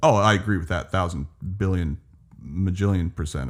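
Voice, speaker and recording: A man's very deep, low voice with vocal fry and ordinary pitch variation, at a fairly quick pace, in a very clean recording with a silent background. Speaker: podcast guest. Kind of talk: casual chat.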